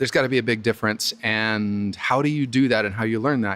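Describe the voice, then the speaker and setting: A normal speaking voice delivers its words with fairly even intonation. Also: man. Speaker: podcast host. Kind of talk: interview question.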